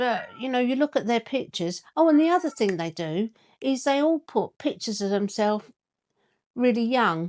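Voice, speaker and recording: In an English accent, a woman speaks with high pitch and very wide pitch swings at a moderate pace. The sound is dry and close with no echo, on a very clean recording with a silent background. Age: 60s. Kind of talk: casual talk to camera.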